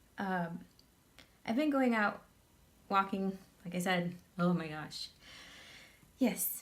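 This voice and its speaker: At a very slow pace and with long, frequent pauses, a woman of medium pitch talks in a somewhat breathy voice with ordinary pitch variation. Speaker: makeup tutorial youtuber. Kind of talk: casual vlog chat; tutorial.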